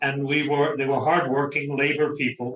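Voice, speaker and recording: A man with a Brooklyn accent. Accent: New York (Brooklyn). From Brooklyn, New York. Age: 70s. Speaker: novelist. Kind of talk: interview. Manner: conversational.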